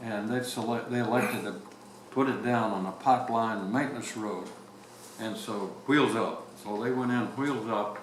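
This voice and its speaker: A man at medium pitch speaks at a moderate pace, leaving long, frequent pauses. Noticeable background noise and audible room echo surround him. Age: 90s. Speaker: retired navy captain. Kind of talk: oral history interview. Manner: halting.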